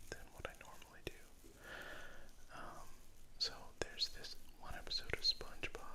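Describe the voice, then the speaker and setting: Someone whispers at a fairly slow pace. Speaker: artist and ASMR content creator. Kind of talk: casual talk to camera while drawing, ASMR-style narration. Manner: soft-spoken, whispered, conversational.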